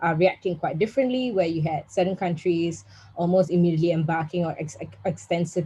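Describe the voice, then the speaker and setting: A woman speaks at a fairly low pitch. Her tone is dark and mellow, and somewhat breathy. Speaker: policy analyst, panel speaker. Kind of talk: webinar presentation. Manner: fast.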